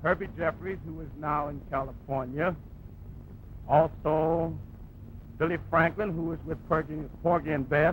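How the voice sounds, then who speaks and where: The speaker talks fairly slowly with vocal fry and long, frequent pauses. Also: man, fairly high pitch for a man, big swings in loudness. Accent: American. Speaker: jazz pianist. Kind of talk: interview answer.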